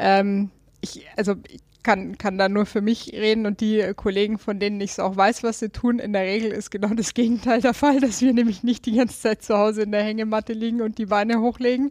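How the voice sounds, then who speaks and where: A woman's fairly high, monotone, flat voice at a fairly quick pace, with a slight Bavarian accent. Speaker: politician. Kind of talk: interview. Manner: halting, many fillers.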